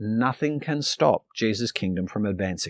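Speaking fairly slowly, a man talks with an Australian accent. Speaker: pastor. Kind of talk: sermon. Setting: online church video.

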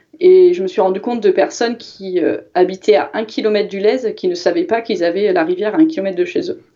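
Over noticeable background noise, a woman talks at a medium pitch and a moderate pace. Her pitch swings very widely. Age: 30s. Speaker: cycling commuter, mother of two. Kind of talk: casual chat.

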